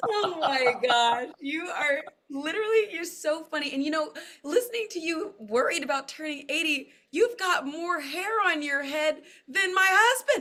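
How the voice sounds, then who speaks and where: A woman with an extremely high pitch and a bright, sharp tone uses a raised, projected voice with lively intonation. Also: moderate pace. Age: 30s. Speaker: talk show host. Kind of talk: interview. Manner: animated.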